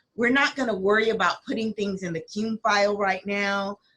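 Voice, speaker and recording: Her voice is somewhat breathy and medium in pitch. The woman's intonation stays fairly even. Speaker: school principal. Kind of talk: staff briefing on video call. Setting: video call with screen share. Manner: halting.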